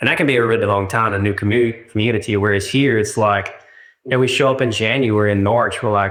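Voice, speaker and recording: A man with a medium pitch talks very fast at very even loudness, his intonation fairly even and his voice carrying audible room echo. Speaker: churchgoer giving testimony. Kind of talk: testimony. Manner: halting.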